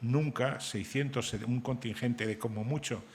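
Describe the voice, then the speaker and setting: The man has an ordinary speaking voice at a medium pitch. He goes at a fairly slow pace with fairly even intonation. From Spain, Santander (Cantabria). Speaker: novelist and journalist. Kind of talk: panel discussion.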